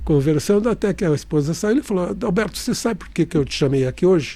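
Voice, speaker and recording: A man with a dark, mellow tone and lively intonation. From interior of São Paulo state, Brazil (Catanduva). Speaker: real estate developer and engineer. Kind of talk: interview storytelling. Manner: halting with many restarts.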